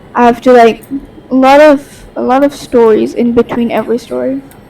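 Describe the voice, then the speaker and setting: Speaking with a Bengali accent, a woman uses a fairly high pitch over noticeable background noise. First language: Bangla. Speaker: podcast host. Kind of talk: casual monologue. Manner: halting.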